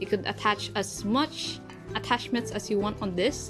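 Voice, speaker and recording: Behind the voice, music is playing. The woman talks at a moderate rate. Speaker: kalimba player. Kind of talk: casual tutorial talk to camera.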